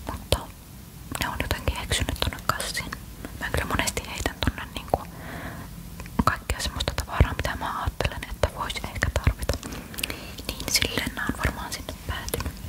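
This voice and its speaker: A woman whispers at a moderate pace with long, frequent pauses over noticeable background noise. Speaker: ASMR creator. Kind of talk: ASMR show-and-tell of bag contents. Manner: whispered.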